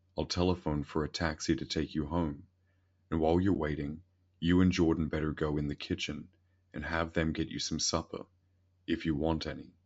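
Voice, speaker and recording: A man uses a gruff put-on character voice, very deep and low, in a flat monotone. He moves at a fairly quick pace yet leaves long, frequent pauses. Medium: read story. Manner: gruff, authoritative.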